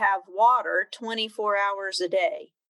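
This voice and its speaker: In a Midwestern US accent, a woman speaks at a fairly high pitch with a bright, sharp tone. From Kansas (Emporia). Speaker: extension regional director. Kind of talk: casual interview.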